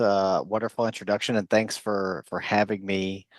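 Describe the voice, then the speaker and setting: A man with an American accent and a plain, everyday voice speaks at a fairly low pitch and moderate pace, recorded dry and close with no echo against a quiet background. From United States. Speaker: psychologist and chief science officer. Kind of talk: conference presentation. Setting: virtual forum.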